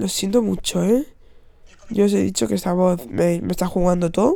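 A woman's medium-pitched voice, dark and mellow in tone. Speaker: podcast host. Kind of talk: casual monologue. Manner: animated.

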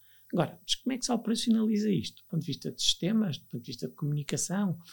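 Here a man talks with very wide pitch swings. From northern Portugal, Viana do Castelo. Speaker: learning and innovation executive. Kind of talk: interview.

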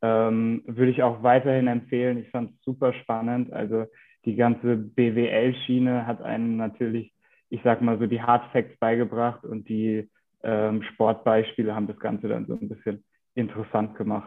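A man's medium-pitched voice at a moderate pace, monotone and flat in intonation, with big swings in loudness. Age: 20s. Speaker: PR and content manager at a bike parts maker. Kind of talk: interview.

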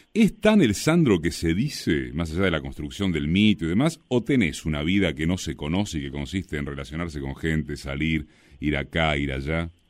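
A man with a Rioplatense accent speaks with very deep, low pitch and vocal fry. His pace is moderate, with hardly any pauses and ordinary pitch variation. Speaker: radio host. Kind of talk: radio monologue and interview.

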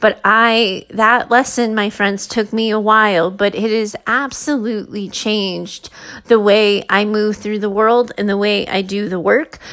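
A woman with an unremarkable speaking voice talks at a fairly slow pace, with hardly any pauses and fairly even intonation. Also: fairly high pitch for a woman. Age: 40s. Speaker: podcast host, mindset and leadership coach. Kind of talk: solo podcast monologue.

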